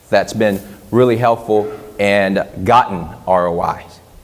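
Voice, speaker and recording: An animated male voice against noticeable background noise. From Vietnam. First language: Vietnamese. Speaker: social media marketing consultant and speaker. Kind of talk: conference talk.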